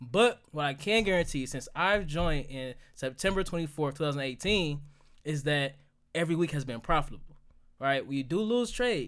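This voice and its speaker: Lively intonation marks this man's fairly high voice. He keeps a moderate pace on a very clean recording with a silent background. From Detroit, Michigan (east side). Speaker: currency trader. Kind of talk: casual interview chat.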